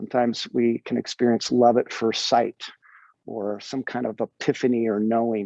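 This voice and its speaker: A man with an American accent speaks at a moderate pace and medium pitch. His tone is dark and mellow, and the sound is dry and close with no echo. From Northern California. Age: 60s. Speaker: actor. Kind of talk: podcast interview. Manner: animated.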